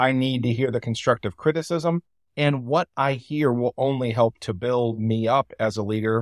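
Captured in a very clean recording with a silent background and a dry, close sound with no echo, a man with an unremarkable speaking voice talks at a medium pitch with ordinary pitch variation. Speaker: church district bishop and author. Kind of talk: interview about leadership.

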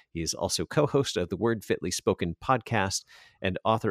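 On a very clean recording with a silent background, a man talks at a moderate pace with a dry, close sound and no echo. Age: 40s. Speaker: radio host. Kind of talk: radio interview. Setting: radio studio.

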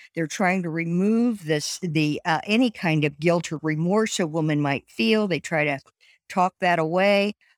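A woman with a Midwestern American accent speaks at a fairly slow pace and fairly low pitch with ordinary pitch variation, in a very clean recording with a silent background and a dry, close sound with no echo. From US Midwest, Indiana. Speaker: pro-life advocate. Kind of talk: interview.

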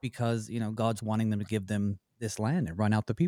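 A man with a Southern US accent speaks in a dark, mellow tone. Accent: faint Southern US. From US South. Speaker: pastor and radio Bible-study host. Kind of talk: Bible study discussion. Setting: radio studio.

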